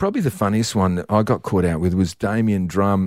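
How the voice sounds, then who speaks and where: A man with an Australian accent speaks at a moderate pace in a very deep, low voice with ordinary pitch variation. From Perth, Western Australia. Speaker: sports presenter and former footballer. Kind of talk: casual chat.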